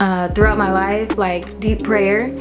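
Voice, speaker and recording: Over music in the background and audible room echo, a woman speaks at a moderate pace and medium pitch. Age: 20s. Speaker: lifestyle vlogger. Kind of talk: casual monologue to camera.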